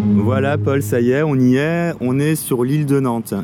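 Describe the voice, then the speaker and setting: A man with an unremarkable speaking voice talks at a fairly slow pace, his medium pitch showing ordinary variation. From Paris region, France. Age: 40s. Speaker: local guide. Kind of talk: casual chat.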